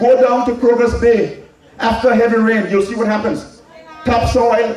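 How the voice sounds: A man speaks at a high pitch with a slightly mellow tone and fairly even intonation. Strong room echo surrounds his voice.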